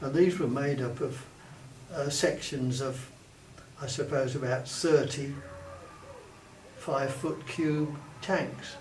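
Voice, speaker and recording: A man with an English accent, fairly high pitch and fairly even intonation at a very slow pace with long, frequent pauses, amid noticeable background noise and audible room echo. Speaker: war veteran. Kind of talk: oral history interview. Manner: halting.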